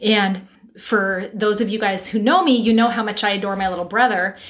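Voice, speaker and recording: Noticeable background noise under a woman talking fairly quickly in a fairly high voice. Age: 50s. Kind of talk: casual chat.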